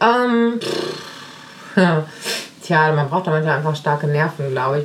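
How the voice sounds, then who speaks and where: A woman talks at a very deep, low pitch over noticeable background noise. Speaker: podcast host and family coach. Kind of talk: casual monologue answering listener questions. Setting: home kitchen, baby in sling. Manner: hesitant with many fillers.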